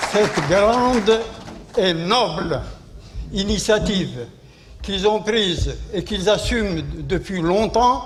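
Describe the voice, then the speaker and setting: Over noticeable background noise and audible room echo, a man speaks very slowly in a high voice with ordinary pitch variation and long, frequent pauses. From Algeria. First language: Arabic (speaking French). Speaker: war veteran. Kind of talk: conference speech. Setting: conference hall. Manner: halting.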